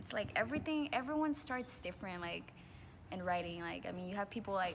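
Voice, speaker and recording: With a slight Spanish accent, a woman talks at a fairly quick pace in a medium pitch, her vocal fry and very wide pitch swings carried by audible room echo. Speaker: student. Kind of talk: casual chat.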